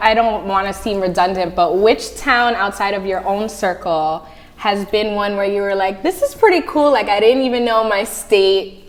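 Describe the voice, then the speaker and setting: With hardly any pauses, a woman talks in an animated tone at a medium pitch with an American accent over noticeable background noise. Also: ordinary pitch variation, moderate pace. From northern New Jersey. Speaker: talk show host. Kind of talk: casual interview. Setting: studio.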